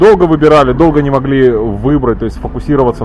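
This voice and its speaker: Noticeable background noise surrounds a man talking at a medium pitch. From Ukraine, Kyiv. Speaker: metal band frontman. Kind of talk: casual interview. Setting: microbrewery bar in Tel Aviv. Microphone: old media player recording, poor quality.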